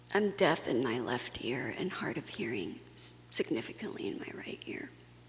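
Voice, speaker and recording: Whispering from a woman at moderate speed, over noticeable background noise. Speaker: conference speaker. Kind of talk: personal testimony talk.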